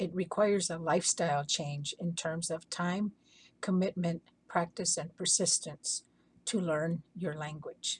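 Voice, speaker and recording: A somewhat breathy, fairly low woman's voice with an Arizona accent, fairly even intonation and a fairly slow pace. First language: Hopi. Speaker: language educator. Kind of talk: prepared talk. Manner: measured, formal.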